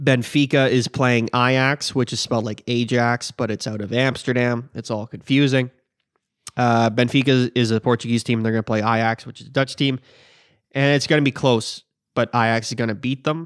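Monotone, flat intonation at a moderate pace over a quiet background. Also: man. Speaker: podcast co-host. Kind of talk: casual sports prediction talk. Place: garage. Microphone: studio mic.

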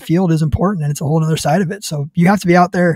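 Man at a high pitch and very fast pace, fairly even intonation, dry sound with no echo, quiet background. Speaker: hunting podcast host. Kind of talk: casual chat. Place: studio. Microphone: studio mic.

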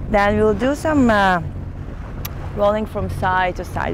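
A woman speaks at a fairly slow pace and medium pitch, with ordinary pitch variation and clear background noise.

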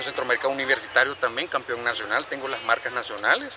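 A man speaks at a medium pitch. The sound is dry with no echo, with noticeable background noise. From El Salvador. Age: 20s. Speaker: track and field athlete. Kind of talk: interview. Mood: earnest, somewhat critical. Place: stadium. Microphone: camera far.

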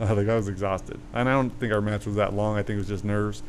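An ordinary speaking voice from a man, fairly low in pitch and fairly quick, with fairly even intonation and light background noise. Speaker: podcast co-host. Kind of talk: casual podcast storytelling. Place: garden. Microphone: studio mic.

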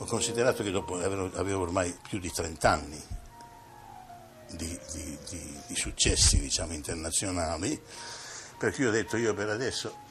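A man talks with a very deep, low pitch and ordinary pitch variation. Long, frequent pauses break up his speech while clear music plays in the background. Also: moderate pace. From Italy. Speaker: opera bass singer and teacher. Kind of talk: interview answer. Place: home room. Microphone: old recording.

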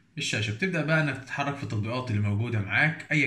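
Bright, sharp-toned male voice with audible room echo. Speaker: tech YouTuber. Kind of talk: tutorial. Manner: casual.

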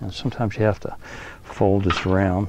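The sound is dry, with no echo. A man with a fairly low pitch talks at a fairly quick pace. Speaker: equipment trainer. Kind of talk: tutorial. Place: boat.

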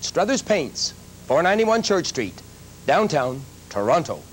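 The speech moves at a fairly slow pace with very wide pitch swings. Light background noise is present. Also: man. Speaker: presenter. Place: studio.

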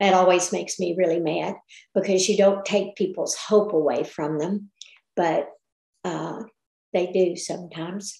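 A woman talks at a fairly slow pace and medium pitch. There is audible room echo over a quiet background. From Texas. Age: 70s. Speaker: retired midwife; guest. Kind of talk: testimonial presentation with Q&A. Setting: video call. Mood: earnest, grateful, some frustration. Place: home room. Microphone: video call.

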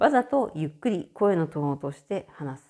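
A woman speaks fairly slowly in a fairly low, dark, mellow voice with very wide pitch swings. The recording is very clean, with a silent background. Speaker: podcaster and care home worker. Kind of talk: casual solo talk. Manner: loud.

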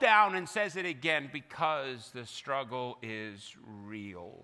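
A man's raised, projected voice with a bright, sharp tone against a quiet background. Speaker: pastor delivering a sermon. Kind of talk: sermon preached to a congregation. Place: church. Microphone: headset.

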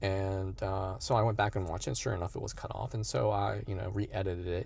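Somewhat breathy and fairly low in pitch, a man's voice comes through with a dry sound and no echo. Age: 50s. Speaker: youtuber, fitness content creator. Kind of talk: casual vlog monologue. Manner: halting, many fillers. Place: car. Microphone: phone near.

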